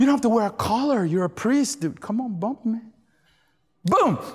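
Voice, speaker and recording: A man talks at an extremely high pitch. His tone is animated, with very wide pitch swings. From Venezuela. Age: 50s. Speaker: preacher. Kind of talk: sermon. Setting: church with audience. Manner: animated, exuberant, fervent preacher delivering call-and-response style with laughter.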